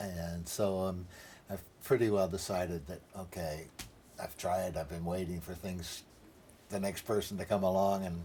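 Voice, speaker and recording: With an American accent and a very deep, low pitch, a man speaks at a moderate pace in monotone, flat intonation, leaving long, frequent pauses. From United States. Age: 70s. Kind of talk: documentary interview answer.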